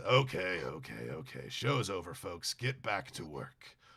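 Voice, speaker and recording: A man puts on a raspy character voice, very deep and low in pitch with very wide pitch swings. He keeps a moderate pace. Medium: actual play.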